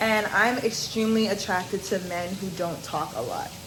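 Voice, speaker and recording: A woman talks at a medium pitch. Noticeable background noise and audible room echo are present. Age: 20s. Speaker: vlogger. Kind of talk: casual chat. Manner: loud, energetic on camera.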